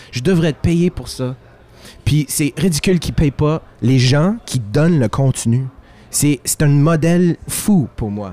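The man has a dark, mellow tone and a fairly high pitch. His pace is fairly slow. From Quebec, Italian-Friulian family. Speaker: singer-songwriter. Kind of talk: casual chat.

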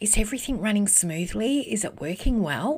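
A somewhat breathy voice with lively intonation, in a very clean recording over a silent background. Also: woman. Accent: Australian. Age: 50s. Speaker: podcast host and business network founder. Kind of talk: solo motivational talk.

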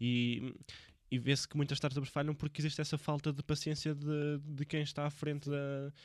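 The background is silent and the recording very clean as a man talks in a fairly high voice. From Portugal, Viseu. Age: 20s. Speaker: podcast host. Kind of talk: casual interview. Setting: Viseu.

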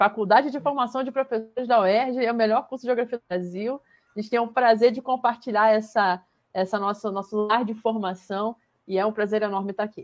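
A woman with an unremarkable speaking voice talks at a fairly quick pace, her fairly high pitch held in fairly even intonation. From Brazil, Saquarema (Rio de Janeiro state). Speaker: geography professor. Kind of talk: casual interview.

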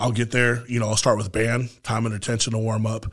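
A man's somewhat breathy, monotone, flat voice at a very fast pace, in a very clean recording with a silent background. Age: 40s. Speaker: powerlifter. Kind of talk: casual chat.

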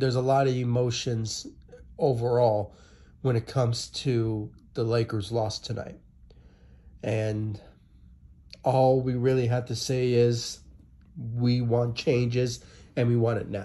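Speaking at a fairly slow pace with long, frequent pauses, a man's medium-pitched, somewhat breathy voice has a dark, mellow tone and monotone, flat intonation. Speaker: sports YouTuber. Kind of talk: angry sports rant, video commentary. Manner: dejected, exasperated, repetitive.

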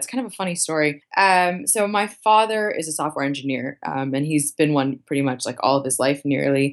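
A woman's very deep, low voice with an American accent, fairly quick, with hardly any pauses. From US Northeast, Boston. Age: 20s. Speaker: venture capitalist. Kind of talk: interview.

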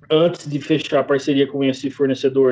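A man's voice with a fairly high pitch. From Brazil, interior of São Paulo state (Jaú). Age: 30s. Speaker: butcher shop owner. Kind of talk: interview.

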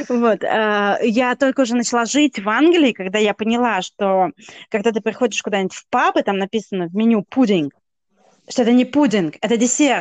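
Recorded dry and close with no echo, an unremarkable speaking voice moves at a moderate pace with ordinary pitch variation. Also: woman, fairly high pitch for a woman. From Russia. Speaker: podcast co-host. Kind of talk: casual chat.

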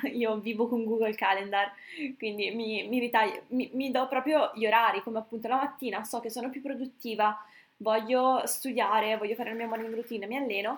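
A woman talks at a fairly quick pace in a fairly high pitch with monotone, flat intonation. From northern Italy, Brescia. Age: 20s. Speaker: medical student and fitness coach. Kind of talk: casual chat.

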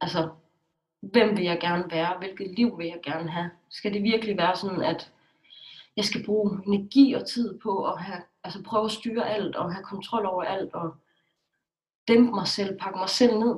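A woman with an ordinary speaking voice talks at a moderate pace, medium in pitch, with fairly even intonation. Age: 20s. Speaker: blogger. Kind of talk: interview.

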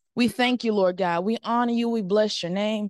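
A woman's fairly high-pitched voice, a plain, everyday voice, at a moderate pace with ordinary pitch variation, in a dry, close sound with no echo against a quiet background. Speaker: church member. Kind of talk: prayer. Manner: fervent.

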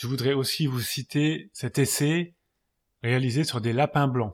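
On a very clean recording with a silent background, a man talks at a fairly slow pace in a fairly high pitch, his voice somewhat breathy. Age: 40s. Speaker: podcast host. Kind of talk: scripted narration.

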